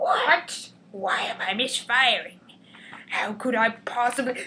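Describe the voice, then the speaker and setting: In a put-on character voice, a female-sounding speaker uses a raised, projected voice with a high pitch and a theatrical tone at a fairly slow pace. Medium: read story. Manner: theatrical, monologuing.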